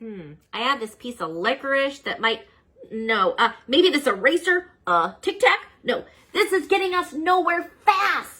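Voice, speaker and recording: This is a put-on character voice pitched high. Its pitch swings very widely. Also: fairly slow pace. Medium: read story.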